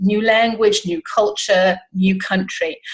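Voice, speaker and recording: This woman's voice is somewhat breathy and medium in pitch. She speaks at a fairly slow pace. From South Africa. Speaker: life coach. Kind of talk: interview.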